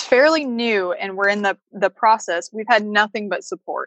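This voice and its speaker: A woman with an American accent and a normal speaking voice, fairly high in pitch, with lively intonation at a moderate pace and a dry, close sound with no echo. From US Midwest, Chicago. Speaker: veterinarian and homesteader. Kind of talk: casual interview.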